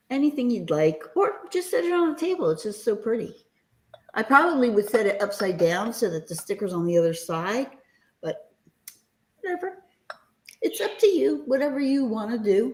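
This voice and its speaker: A woman with an East Coast US accent takes long, frequent pauses. Her pitch swings very widely. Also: moderate pace. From US East Coast. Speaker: live sale seller. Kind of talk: live sale chat. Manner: casual, chatty.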